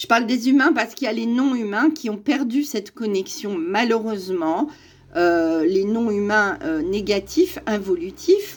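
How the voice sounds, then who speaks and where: In a very clean recording with a silent background, a woman with an unremarkable speaking voice talks at a fairly slow pace, fairly high in pitch, with lively intonation. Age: 60s. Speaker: spiritual YouTuber. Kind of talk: monologue to camera.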